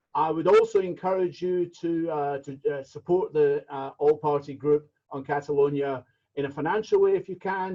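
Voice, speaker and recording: In a Scottish accent, a man speaks at a fairly high pitch with ordinary pitch variation. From Scotland. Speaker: meeting chair. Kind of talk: chairing a virtual meeting. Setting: video call.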